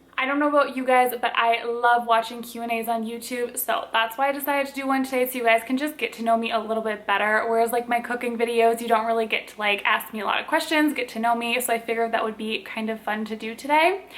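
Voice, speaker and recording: A woman with an American accent talks at a very fast pace, with hardly any pauses and fairly even intonation. Her pitch is fairly high, and there is noticeable background noise. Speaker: lifestyle and cooking vlogger. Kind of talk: casual Q&A vlog.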